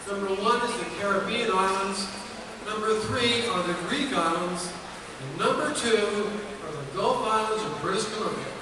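Amid noticeable background noise and strong room echo, a man with a high pitch projects a raised voice at a moderate pace. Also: ordinary pitch variation. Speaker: sea captain boat owner donating trip. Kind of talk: short pitch describing an auction item. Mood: enthusiastic, promotional. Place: hall. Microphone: camera far.

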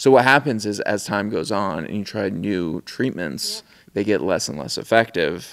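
A man with a fairly low pitch speaks at a moderate pace, his intonation lively. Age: 30s. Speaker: filmmaker and photographer; interview guest. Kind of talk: casual chat. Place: studio. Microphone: studio mic.

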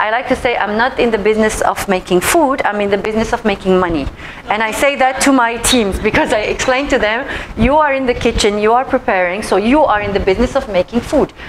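Noticeable background noise sits behind a woman talking. She goes at a very fast pace with ordinary pitch variation. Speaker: presenter. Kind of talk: presentation talk. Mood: warm, laughing. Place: meeting room.

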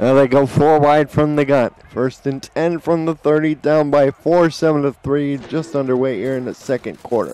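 Noticeable background noise sits behind a man whose voice is fairly high. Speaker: play-by-play sports commentator. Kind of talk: live play-by-play commentary of a simulated football game. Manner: erupts into shouting excitement on big plays.

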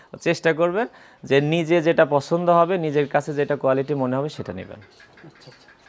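A man with an ordinary speaking voice, a fairly high pitch, ordinary pitch variation and big swings in loudness. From Bangladesh, Pabna district (Ishwardi). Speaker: cattle trader. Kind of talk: casual interview, showing cattle on camera.

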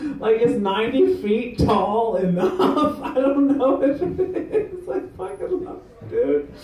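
A man talks at a very slow pace with hardly any pauses, his pitch extremely high and swinging very widely. His loudness swings a lot, and the room echo is audible. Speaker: stand-up comedian. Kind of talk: rambling open-mic stand-up with crowd work. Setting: stage with audience. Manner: self-deprecating, meandering, giggly; loose, laid-back stoned delivery. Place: bar. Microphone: camera far.

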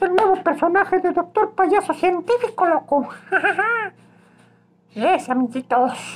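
A man uses a put-on character voice at a fairly slow pace. He leaves long, frequent pauses. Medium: role play.

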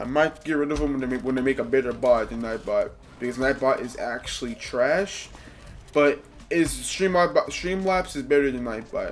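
The speech moves at a moderate pace, with faint music in the background. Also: man. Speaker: gaming streamer. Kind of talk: live gameplay commentary. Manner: loud. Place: home room.

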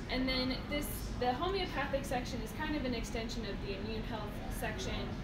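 A woman is talking over loud background noise. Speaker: store nutrition educator. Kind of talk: casual store tour explanation. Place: shop. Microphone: phone near.

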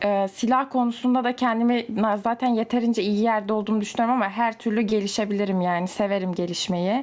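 A woman with a plain, everyday voice speaks at a fairly high pitch and a fairly quick pace, her intonation fairly even. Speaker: gamer friend. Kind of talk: casual chat, party game.

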